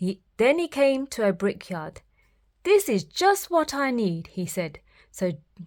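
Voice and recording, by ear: Reading aloud is done here in a natural voice.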